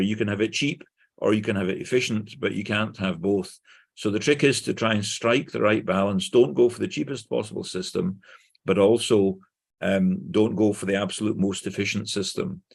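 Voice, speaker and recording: With a Glaswegian accent, a man talks at a moderate pace in a fairly low pitch. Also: quiet background. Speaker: conference speaker, engineer. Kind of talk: conference presentation. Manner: clear.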